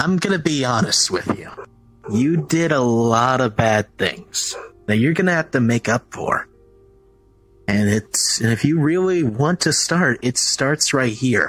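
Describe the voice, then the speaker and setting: Using a put-on character voice at a medium pitch, a man speaks at a fairly slow pace with long, frequent pauses while faint music plays in the background. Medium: machinima. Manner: firm, encouraging, casual.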